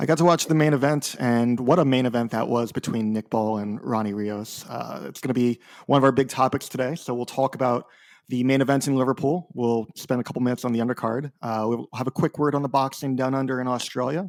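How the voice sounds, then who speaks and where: A man with an American accent talks at a very fast pace. His intonation stays fairly even. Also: medium pitch for a man. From United States. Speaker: boxing writer, podcast co-host. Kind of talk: casual podcast chat.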